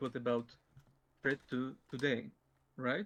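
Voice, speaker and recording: Delivered with a Polish accent, the speech moves at a fairly slow pace. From Poland. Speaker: debater. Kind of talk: formal debate. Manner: halting, many fillers.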